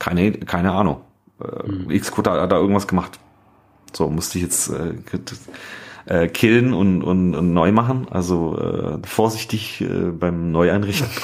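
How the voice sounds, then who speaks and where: Pausing long and often, a man with a very deep, low pitch speaks with ordinary pitch variation. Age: 30s. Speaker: podcast co-host, app developer. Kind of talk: casual chat.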